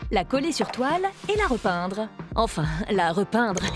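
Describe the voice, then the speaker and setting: Over music in the background, a woman speaks in a playful tone with very wide pitch swings. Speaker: voice-over actress. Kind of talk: playful educational web-series narration. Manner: lively, playful, humorous.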